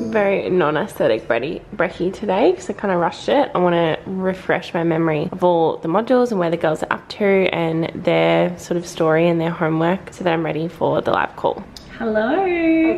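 A woman with an Australian accent speaks at a fairly low pitch with ordinary pitch variation and hardly any pauses, over light background noise. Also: fairly quick pace. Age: 20s. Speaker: vlogger. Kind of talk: casual vlog monologue. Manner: fast, chatty. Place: home room. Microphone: phone near.

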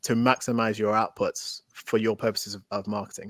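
In a Mancunian accent, a man speaks at a fairly quick pace with a dry sound with no echo and a quiet background. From Manchester, England. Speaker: tech entrepreneur. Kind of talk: interview. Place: home room.

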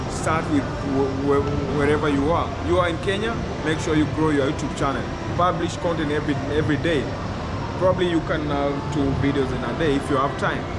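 A man at a fairly quick pace with ordinary pitch variation, clear music in the background. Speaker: content creator giving advice. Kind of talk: interview answer. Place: hall. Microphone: phone near.

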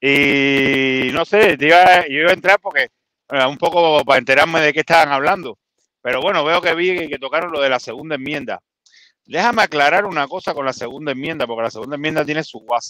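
Over a quiet background, a man with a fairly high pitch talks at a fairly quick pace in a bright, sharp tone, the sound dry with no echo. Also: ordinary pitch variation. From Cuba, Havana; Cuba. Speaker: live stream call-in participant; guest commentator on web show. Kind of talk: casual political discussion. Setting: in a car. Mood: relaxed, joking at times. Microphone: studio mic.

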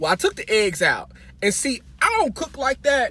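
A man talks at a fairly quick pace. The sound is dry with no echo. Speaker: vlogger. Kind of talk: casual vlog chat, storytelling. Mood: humorous, dramatic. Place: car. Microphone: phone near.

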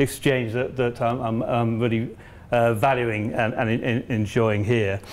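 At a moderate pace, a man talks. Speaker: visiting lecturer. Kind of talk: lecture. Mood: warm, jokey, smiling. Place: classroom. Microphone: lapel.

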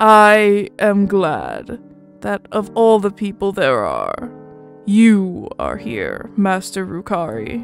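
In a put-on character voice, a female-sounding speaker uses a medium pitch at a very slow pace while faint music plays in the background. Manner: slow, enunciating, anxious.

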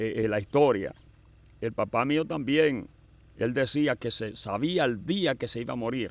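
A man speaks at a very slow pace with lively intonation. The sound is dry with no echo. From Dominican Republic. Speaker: evangelical pastor and evangelist; evangelical pastor, evangelist. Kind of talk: testimony. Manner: halting. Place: open country. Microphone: studio mic.

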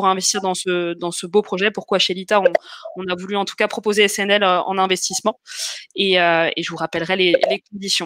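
In a quiet, dry setting with no echo, a woman talks at a moderate pace with monotone, flat intonation. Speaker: webinar host. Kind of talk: hosting live webinar introduction. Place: home room. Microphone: webcam.

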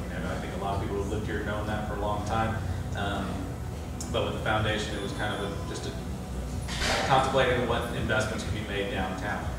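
Over loud background noise and audible room echo, a man talks at a very fast pace broken by long, frequent pauses. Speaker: foundation program officer presenting a project. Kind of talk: public presentation with Q&A. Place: hall.

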